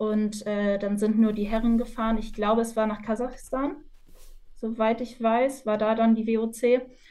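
A woman speaks in a fairly high pitch with monotone, flat intonation. Her pace is fairly slow. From northwestern Germany, Osnabrück. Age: 20s. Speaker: university student and futsal player. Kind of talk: podcast interview.

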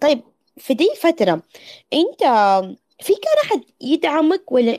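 A dark, mellow tone marks this woman's voice. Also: dry, close sound with no echo. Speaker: podcast host. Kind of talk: casual chat. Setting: online audio room.

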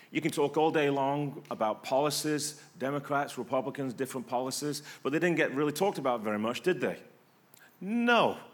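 A man's fairly high voice in an English accent, lively in intonation at a fairly quick pace. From England. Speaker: pastor. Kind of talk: sermon. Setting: church. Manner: conversational, rhetorical questions.

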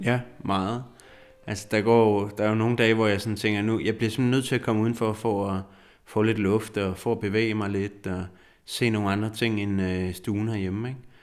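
With a fairly low pitch, a man talks in a monotone, flat intonation. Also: moderate pace. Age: 40s. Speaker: psychologist living with multiple sclerosis. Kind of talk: interview. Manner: halting.

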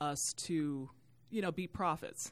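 An ordinary speaking voice talks at a fairly slow pace with an American accent. The recording is very clean, with a silent background. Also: woman. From Youngstown, Ohio. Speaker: church volunteer and media sales executive. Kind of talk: podcast interview.

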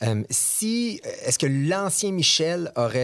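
With a Quebec accent, a man lets his pitch swing very widely. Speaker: podcast host. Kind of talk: casual interview chat. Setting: studio.

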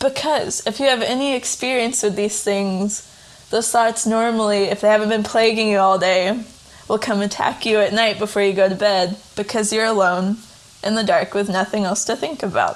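The woman's voice sits fairly high in pitch, with noticeable background noise around it. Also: moderate pace. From Tennessee. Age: 20s. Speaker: writer and editor. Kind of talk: casual interview. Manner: hesitant, filler-heavy.

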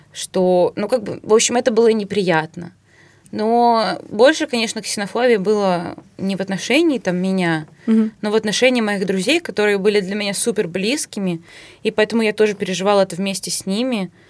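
A woman talks at a fairly quick pace in an unremarkable speaking voice with a medium pitch and ordinary pitch variation. The recording is very clean, with a silent background. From Russia. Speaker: podcast co-host. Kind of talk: casual chat.

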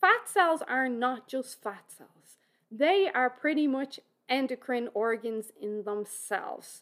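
A woman's high voice with lively intonation, in an Irish accent. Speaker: fitness and nutrition expert, podcaster. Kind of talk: educational solo podcast monologue. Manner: informal, conversational.

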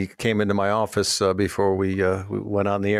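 At a fairly quick pace, a man talks in an ordinary speaking voice that sits fairly low. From Minnesota. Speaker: radio host and auctioneer. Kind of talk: radio call-in show chat.

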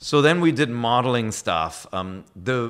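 The recording is very clean with a silent background, and the speaker has a German accent. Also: man. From Germany. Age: 40s. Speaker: video game media executive. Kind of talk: casual interview.

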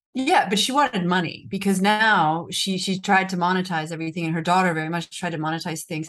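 Speaking very fast with hardly any pauses, a woman has an American accent and a medium pitch. Her pitch variation is ordinary, and the background is quiet. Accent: American, speaks Italian. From United States. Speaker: journalist and true crime author. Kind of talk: interview. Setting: video call from Rome.

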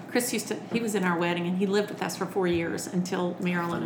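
Over noticeable background noise and audible room echo, a woman talks very fast with fairly even intonation. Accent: Southern US. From Alabama (Birmingham), US South. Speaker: children's entertainer and author. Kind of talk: casual interview. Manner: talkative.

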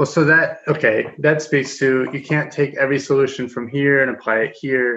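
A man with an American accent, a bright, sharp tone, fairly even intonation and a moderate pace. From US Midwest, rural Kansas. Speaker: interviewer, urban planner. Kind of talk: interview.

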